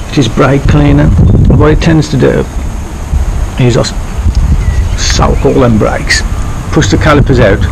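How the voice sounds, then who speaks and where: Noticeable background noise runs under a man speaking at a moderate pace. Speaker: amateur motorcycle mechanic. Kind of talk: casual DIY tutorial talk to camera. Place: street. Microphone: phone near.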